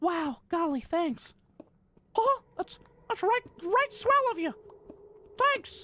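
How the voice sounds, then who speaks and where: An extremely high put-on character voice swings very widely in pitch, moving at a very slow pace with long, frequent pauses. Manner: cheerful, old-fashioned politeness.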